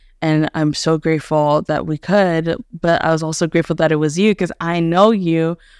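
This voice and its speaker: A woman's ordinary speaking voice with an American accent, fairly low in pitch, at a moderate pace with fairly even intonation, in a dry, close sound with no echo on a very clean recording with a silent background. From US, Haitian American family. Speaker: podcast host, homeschooling parent. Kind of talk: casual chat.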